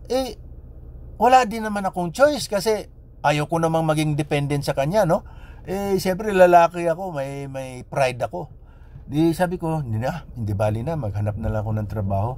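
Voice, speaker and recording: A man's fairly quick speech with very wide pitch swings. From Philippines. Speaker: vlogger. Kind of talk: personal storytelling monologue. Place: car. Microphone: phone near.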